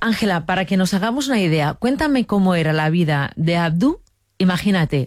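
A woman with a slightly mellow tone and a fairly low pitch speaks at a moderate pace, her pitch swinging widely.

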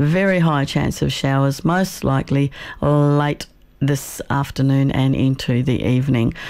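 The voice has a slightly mellow tone, fairly even intonation and a fairly slow pace.

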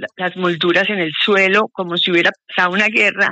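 Speaking at a moderate pace with fairly even intonation, a woman has a bright, sharp tone in a dry, close sound with no echo.

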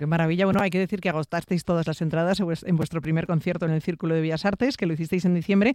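A woman talks very fast with a fairly low pitch and fairly even intonation. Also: slightly mellow tone.

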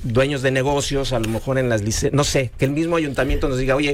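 At a fairly quick pace, a man talks at medium pitch with fairly even intonation.

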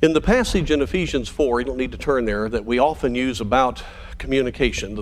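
A natural reading voice of ordinary pitch variation

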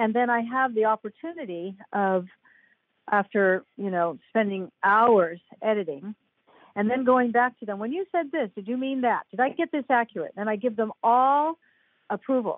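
The speech moves at a moderate pace with lively intonation. The sound is dry and close, with no echo. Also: woman, fairly high pitch for a woman.

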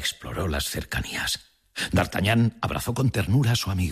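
Reading aloud in a natural voice, with ordinary pitch variation

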